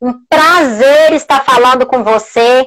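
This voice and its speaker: In a quiet background, a woman speaks at a fairly slow pace with a high pitch and ordinary pitch variation. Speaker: live-stream host. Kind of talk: casual live-stream interview. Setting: video call. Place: home room. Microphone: earbuds.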